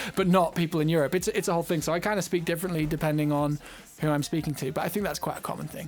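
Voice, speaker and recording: In an American accent, a man with a high voice talks very fast with fairly even intonation. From southern England, later northern England. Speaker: music producer and streamer. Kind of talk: live stream Q&A. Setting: live stream. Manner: casual, many fillers and repetitions.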